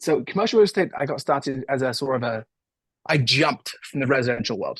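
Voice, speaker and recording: In an American accent, a man with a fairly high, somewhat breathy voice talks at a very fast pace with lively intonation against a quiet background. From England. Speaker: real estate investor. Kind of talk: podcast interview.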